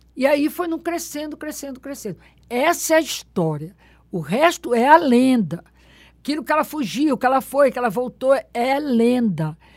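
A woman talks in a high pitch with very wide pitch swings. Her moderate pace comes through on a very clean recording with a silent background. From Belém do Pará, northern Brazil. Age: 70s. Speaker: religious festival researcher and author. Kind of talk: interview storytelling.

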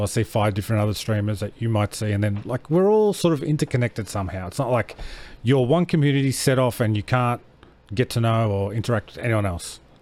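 Very fast and in an Australian accent, a man speaks at a medium pitch with ordinary pitch variation. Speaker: podcast host. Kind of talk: casual chat.

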